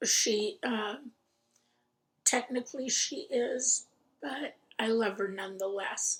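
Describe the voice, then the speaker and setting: Somewhat breathy and fairly high-pitched, a woman with an American accent speaks at a very slow pace with fairly even intonation. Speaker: crafting vlogger. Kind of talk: casual chat.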